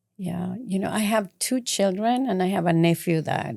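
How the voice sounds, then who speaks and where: In a Mexican accent, a woman with a fairly low pitch and lively intonation speaks at a moderate pace, the sound dry and close with no echo. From Mexico City. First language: Spanish. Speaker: community advocate. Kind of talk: interview.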